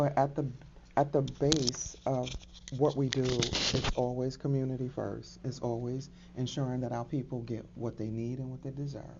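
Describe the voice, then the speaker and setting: Over noticeable background noise, a woman with an American accent speaks at a moderate pace in a very deep, low voice with monotone, flat intonation. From New York. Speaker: credit literacy advocate, military veteran. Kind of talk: podcast interview.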